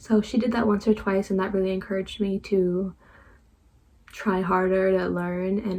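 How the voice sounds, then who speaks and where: A woman's somewhat breathy, medium-pitched voice at a fairly quick pace, with flat, monotone intonation. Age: 20s. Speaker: book vlogger. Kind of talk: casual vlog monologue. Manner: halting, trips over words.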